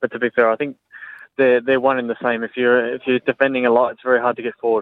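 A man's voice at medium pitch. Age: young. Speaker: professional footballer. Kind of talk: interview. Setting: phone call.

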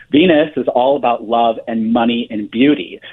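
The man's pitch moves in very wide swings. He keeps a moderate pace. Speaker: astrologer. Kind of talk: interview.

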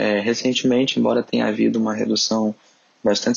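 Fairly quick speech from a man against noticeable background noise. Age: 30s. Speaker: emergency doctor. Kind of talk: interview.

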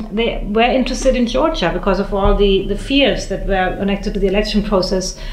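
Over noticeable background noise, a woman speaks with hardly any pauses. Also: medium pitch for a woman, ordinary pitch variation, fairly quick pace. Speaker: foreign correspondent. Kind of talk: panel discussion. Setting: press club.

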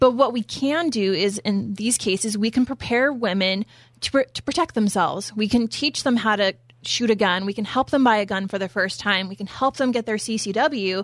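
An unremarkable speaking voice from a woman, fairly high in pitch, at a moderate pace with ordinary pitch variation, dry and close with no echo. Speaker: project manager of a women's gun program. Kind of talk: radio interview.

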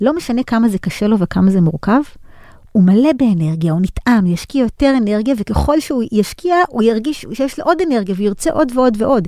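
Over noticeable background noise, a woman with a fairly high pitch speaks at a fairly quick pace, her pitch swinging very widely. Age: 40s. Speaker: business lecturer and consultant. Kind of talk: interview.

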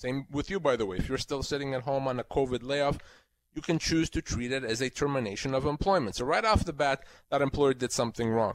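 At a fairly quick pace and fairly high pitch, a man talks in an ordinary speaking voice. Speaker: employment lawyer. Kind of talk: legal advice call-in.

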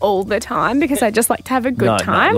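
A woman talks with an Australian accent in a bubbly, animated tone. Noticeable background noise is present. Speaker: radio co-host. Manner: bubbly, animated storyteller.

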